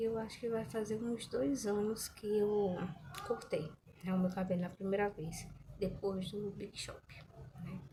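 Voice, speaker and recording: Soft-spoken and very slow, a woman talks at a medium pitch with fairly even intonation. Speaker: hair care vlogger. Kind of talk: casual vlog chat. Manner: soft-spoken, quiet.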